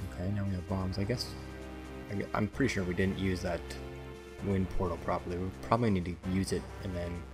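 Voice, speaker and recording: With music in the background, a man with a very deep, low voice talks at a fairly quick pace, using ordinary pitch variation and long, frequent pauses. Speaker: gameplay commentator. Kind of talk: relaxing let's play commentary. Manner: soft-spoken.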